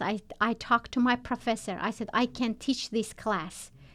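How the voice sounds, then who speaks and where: A woman speaks with a non-native accent at a fairly high pitch. Her pace is fairly slow, on a very clean recording with a silent background. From Turkmenistan. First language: not English. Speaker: nurse. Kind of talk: interview. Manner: halting.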